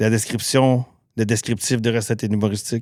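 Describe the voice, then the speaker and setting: A man with a Quebec accent, medium pitch, fairly quick pace and monotone, flat intonation, on a very clean recording with a silent background. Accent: Québécois French. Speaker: cook and cookbook author. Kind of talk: podcast interview. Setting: podcast studio. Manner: fast.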